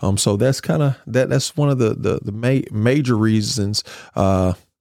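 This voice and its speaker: A man with a Mississippi accent speaks at a moderate pace in a fairly low pitch, with a dark, mellow tone and ordinary pitch variation. The recording is very clean with a silent background, and the sound is dry and close with no echo. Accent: Mississippi Southern. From US South. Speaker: school board candidate and educator. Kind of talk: interview.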